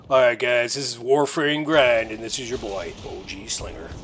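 A man puts on a raspy character voice at medium pitch, keeping a moderate pace. His intonation stays fairly even over clear background noise. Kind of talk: catchphrase-style intro. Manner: insincere.

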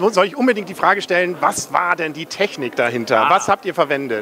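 A high-pitched man at a fairly quick pace with hardly any pauses and lively intonation, dry sound with no echo, light background noise. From northern Germany. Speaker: film reviewer and interviewer; film reviewer, interviewer. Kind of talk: casual interview. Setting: cinema premiere event. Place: hall. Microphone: handheld.

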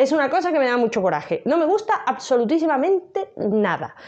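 A woman speaks with very wide swings in pitch. Her voice leaps far up and down. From Cádiz, Andalusia, Spain; Andalusia, Spain. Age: 30s. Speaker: book YouTuber. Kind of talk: casual vlog monologue. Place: home room. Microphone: lapel.

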